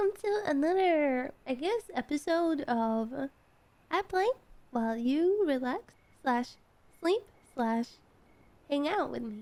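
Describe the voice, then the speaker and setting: Soft-spoken and high-pitched, a woman talks with very wide pitch swings. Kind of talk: calm gaming commentary.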